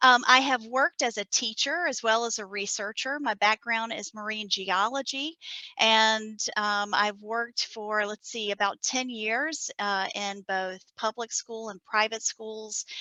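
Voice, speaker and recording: A bright, sharp tone in a Southern US accent, at a fairly slow pace with ordinary pitch variation, dry and close with no echo over a quiet background. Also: woman, fairly high pitch for a woman. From US South, South Carolina. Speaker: NASA science data coordinator. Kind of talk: conference presentation.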